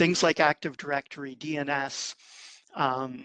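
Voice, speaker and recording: A man with a fairly high pitch speaks in a bright, sharp tone and a monotone, flat intonation, recorded dry and close with no echo over a quiet background. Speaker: tech industry presenter. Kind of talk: conference presentation. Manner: fast.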